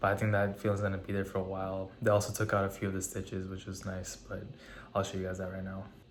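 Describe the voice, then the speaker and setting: Speaking very fast, a man has a fairly low, somewhat breathy voice. Room echo can be heard. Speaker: fitness vlogger. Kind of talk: casual vlog talk. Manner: monotone; hesitant, many fillers.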